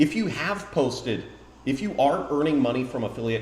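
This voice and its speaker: A man speaks with a fairly high pitch and very wide pitch swings. Noticeable background noise and audible room echo come through. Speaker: affiliate marketing YouTuber. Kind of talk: live-streamed tutorial. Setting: home live stream.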